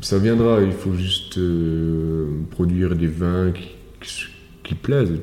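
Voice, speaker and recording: With audible room echo, a man speaks very slowly with long, frequent pauses, his very deep, low voice dark and mellow in tone and his intonation fairly even. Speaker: winemaker. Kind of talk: casual chat. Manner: halting.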